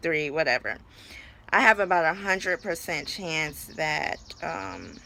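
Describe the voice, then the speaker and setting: Her voice fairly low with a bright, sharp tone and vocal fry, a woman speaks at a fairly slow pace with lively intonation. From New York City. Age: 20s. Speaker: vlogger. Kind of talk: personal vlog. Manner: casual, filler-heavy.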